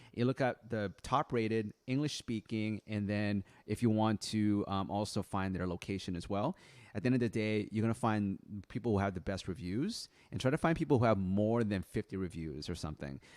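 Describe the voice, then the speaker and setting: An ordinary speaking voice moves at a fairly quick pace with ordinary pitch variation. The sound is dry and close with no echo, on a very clean recording with a silent background. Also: man, fairly low pitch for a man. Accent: American. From Philippines-born immigrant raised in US. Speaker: online business coach, creative entrepreneur. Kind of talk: live-stream tutorial. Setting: live stream. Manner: casual, with many fillers.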